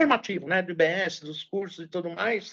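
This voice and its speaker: A woman of medium pitch talks at a moderate pace in an unremarkable speaking voice. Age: 60s. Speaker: journalist and public relations professional. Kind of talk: interview.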